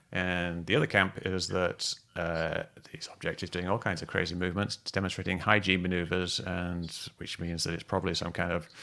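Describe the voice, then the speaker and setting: A man with a very deep, low pitch talks in a monotone, flat way at a moderate speed. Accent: British. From Britain. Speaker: UFO video analyst, livestream host. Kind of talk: casual discussion livestream. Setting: video call livestream.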